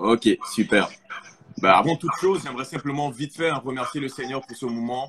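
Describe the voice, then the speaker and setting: Speaking at a medium pitch and a fairly quick pace, a man leaves long, frequent pauses, with big swings in loudness and ordinary pitch variation. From Quebec (Montreal), arrived from Congo at 8. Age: 20s. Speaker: testimony guest. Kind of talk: testimony. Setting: live stream.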